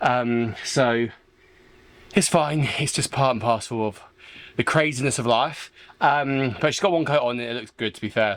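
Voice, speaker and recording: A man with a southern English accent speaks at a moderate pace and medium pitch, with ordinary pitch variation. His loudness swings widely, and he leaves long, frequent pauses. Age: 20s. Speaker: sailing vlogger. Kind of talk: casual video diary. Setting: boatyard. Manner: animated.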